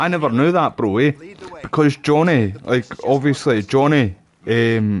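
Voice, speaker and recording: A man talks in a strong Scottish accent at a fairly slow pace. His intonation is lively. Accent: thick Scottish. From Scotland. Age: 30s. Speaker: gaming streamer. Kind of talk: casual chat. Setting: live stream.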